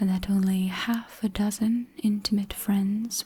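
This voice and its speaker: Soft-spoken and gentle in tone, a woman speaks at a medium pitch and a very slow pace with monotone, flat intonation. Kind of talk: sleep story audiobook narration. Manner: soft-spoken, gentle, slow.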